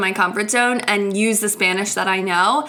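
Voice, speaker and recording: Over noticeable background noise, a woman with an American accent speaks in an animated tone at a moderate pace, with medium pitch and ordinary pitch variation. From United States. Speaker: podcast host and dance teacher. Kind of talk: casual solo podcast chat.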